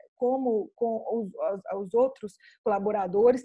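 With a strong Minas Gerais accent, a woman speaks in a dark, mellow tone with ordinary pitch variation against a quiet background. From Minas Gerais, Brazil. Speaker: film researcher and curator. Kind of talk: online talk with Q&A. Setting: video call. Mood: reflective, engaged. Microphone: video call.

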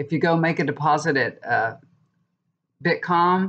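With fairly even intonation, a woman talks at a moderate pace. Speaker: tarot reader vlogger. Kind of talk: casual vlog chat. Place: home room. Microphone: webcam.

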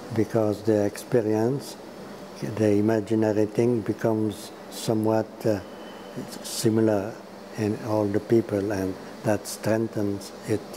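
A man with a Quebec accent, fairly low pitch, monotone, flat intonation, a fairly slow pace and long, frequent pauses, over noticeable background noise. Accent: Québécois French-accented English. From Quebec, Montreal. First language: French. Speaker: priest and film scholar; interview guest. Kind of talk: interview; interview answer. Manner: halting. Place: home room. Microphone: lapel.

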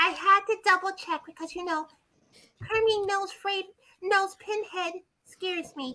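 A female-sounding cartoonish character voice, pitched extremely high, moves at a moderate pace. Long pauses come often. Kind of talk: comic puppet overacting. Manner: theatrical, vain, flirtatious.

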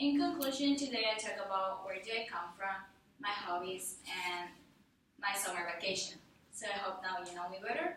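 Speaking at a moderate pace with medium pitch and ordinary pitch variation, a woman is heard with audible room echo and light background noise. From Ecuador (Guayaquil). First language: Spanish. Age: young. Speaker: college student. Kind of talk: class speech. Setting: classroom audience. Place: classroom. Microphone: camera far.

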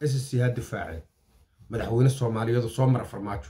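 A man speaks in a Somali accent at medium pitch, somewhat breathy, with ordinary pitch variation. The background is quiet. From Somalia. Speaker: political commentator. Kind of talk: political commentary. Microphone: phone near.

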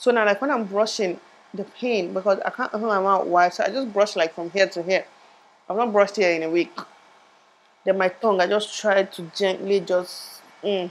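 A woman talks at a moderate pace, keeping her intonation fairly even. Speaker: vlogger. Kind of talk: casual vlog chat. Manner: muffled, restricted jaw, pained. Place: home room. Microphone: lapel.

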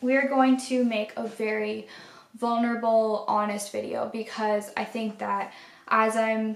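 A woman speaks at a fairly slow pace with monotone, flat intonation in a room with audible echo. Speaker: art vlogger. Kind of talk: casual vlog chat. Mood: grateful, heartfelt. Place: home room.

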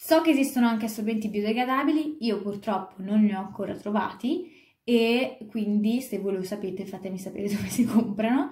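A woman speaks at a fairly quick pace with a dark, mellow, somewhat breathy tone and ordinary pitch variation. The room has audible echo and a quiet background. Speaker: vlogger. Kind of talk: casual vlog chat. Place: home room. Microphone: phone near.

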